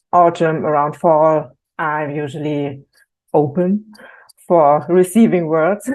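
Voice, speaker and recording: A woman with a German accent speaks at a very slow pace and a fairly low pitch. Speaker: creative workshop team member. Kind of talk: casual chat. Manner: hesitant, many ums.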